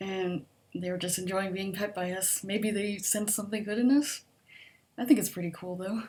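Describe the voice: Soft-spoken, a woman talks in a medium pitch with a slightly mellow tone. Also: fairly even intonation, moderate pace.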